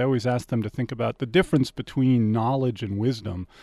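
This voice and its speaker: A man's dark, mellow voice with an American accent and ordinary pitch variation. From Washington, D.C. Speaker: philosophy professor and department head. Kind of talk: academic talk in interview.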